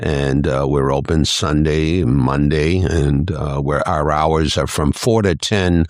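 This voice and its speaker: A man's very deep, low voice with vocal fry. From New Hampshire. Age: 70s. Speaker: business owner. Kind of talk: casual chat.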